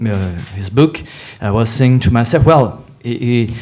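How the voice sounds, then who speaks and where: With noticeable background noise behind him, a man with a French accent talks at a fairly slow pace with ordinary pitch variation. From France. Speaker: music journalist and panel moderator. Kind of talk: panel discussion. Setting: festival roundtable with audience. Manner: halting, many fillers.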